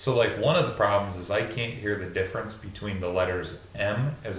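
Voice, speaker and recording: Amid noticeable background noise, a man with a fairly low pitch talks at a fairly quick pace with ordinary pitch variation. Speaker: podcast host. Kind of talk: casual chat.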